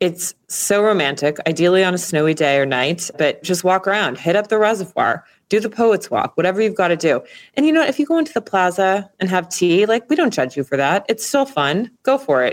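A woman speaks at a fairly quick pace with a medium pitch. Her pitch swings very widely while her loudness stays very even. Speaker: podcast host. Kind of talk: casual chat.

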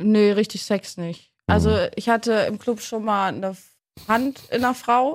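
Heard in a very clean recording with a silent background, a woman with a plain, everyday voice keeps her intonation fairly even. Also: fairly high pitch for a woman, moderate pace. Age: 30s. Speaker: podcast host. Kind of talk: casual chat.

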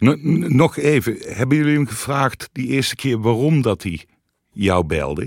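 Fairly slow, lively intonation from a man with vocal fry, in a dry, close recording with no echo. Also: medium pitch for a man. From North Brabant. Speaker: former magazine editor-in-chief, co-host. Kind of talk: casual interview. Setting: studio.

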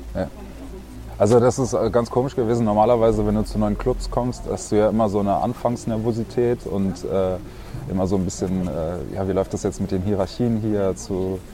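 Moderate pace and ordinary pitch variation. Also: man. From Germany, Berlin. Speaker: professional handball player. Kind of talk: casual interview.

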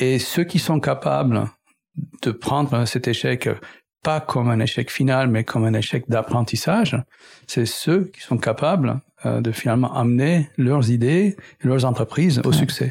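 A man speaks at a fairly slow pace. His pitch is medium with ordinary pitch variation. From Middle East. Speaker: entrepreneur and engineer. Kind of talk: interview conversation. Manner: hesitant, many fillers.

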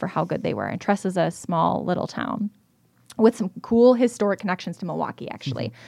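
A very fast woman's voice at medium pitch, with vocal fry, a dark, mellow tone, lively intonation and an American accent, in a dry, close sound with no echo. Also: quiet background. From US Midwest, south central Wisconsin (Rock County). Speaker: travel TV show host. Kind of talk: casual interview chat. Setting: studio.

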